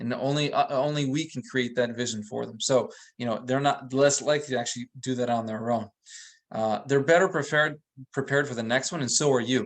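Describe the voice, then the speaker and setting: At a fairly quick pace, a man speaks at a medium pitch with fairly even intonation. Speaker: real estate trainer. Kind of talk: webinar presentation. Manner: fast.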